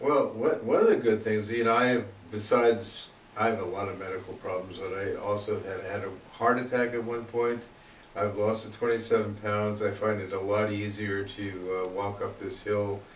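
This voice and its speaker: A man speaks at a moderate pace in a fairly low, monotone, flat voice, with audible room echo and noticeable background noise. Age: 60s. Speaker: weight loss program participant. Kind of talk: interview. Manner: halting, many fillers.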